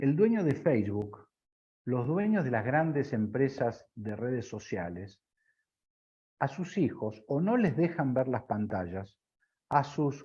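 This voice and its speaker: A man talks at a very slow pace and a medium pitch. His voice is somewhat breathy. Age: 60s. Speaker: business consultant. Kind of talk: interview.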